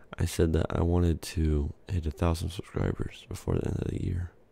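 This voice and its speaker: A soft-spoken, somewhat breathy man with a very deep, low pitch and a dark, mellow tone. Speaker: ASMR YouTuber. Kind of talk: soft-spoken ASMR video, casual chat. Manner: soft speaking, casual, filler words.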